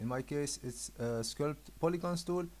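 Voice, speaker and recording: Speaking fairly slowly, the voice carries a non-native accent. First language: not English. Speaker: 3D graphics tutorial maker. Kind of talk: software tutorial. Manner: hesitant, many filler uhs.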